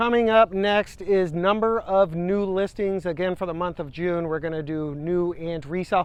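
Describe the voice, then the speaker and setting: With hardly any pauses, a man talks at a high pitch using fairly even intonation. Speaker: realtor. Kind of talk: market update talk to camera. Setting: outdoors by a river. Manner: fast; casual, with fillers.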